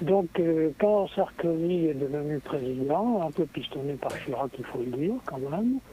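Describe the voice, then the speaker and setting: A fairly high-pitched male voice at a fairly slow pace, with noticeable background noise. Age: 80s+. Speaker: radio caller. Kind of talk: casual chat. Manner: halting.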